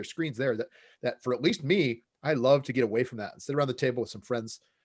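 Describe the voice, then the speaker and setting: Music plays behind a man with an American accent who speaks at a medium pitch with ordinary pitch variation. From United States. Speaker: game designer and professor. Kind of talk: interview. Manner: hesitant, many fillers and repeats.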